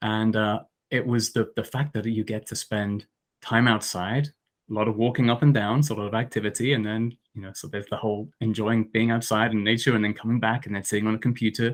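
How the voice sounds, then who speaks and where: A man's medium-pitched voice with fairly even intonation in a very clean recording with a silent background. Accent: southern English. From southeast England, Essex. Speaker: archaeologist. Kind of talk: interview. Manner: halting, many repetitions.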